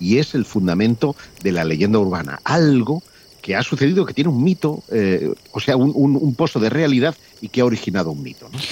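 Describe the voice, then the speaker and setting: The speech moves at a fairly quick pace with very wide pitch swings and vocal fry. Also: man, medium pitch for a man. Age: 50s. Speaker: mystery researcher. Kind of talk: storytelling.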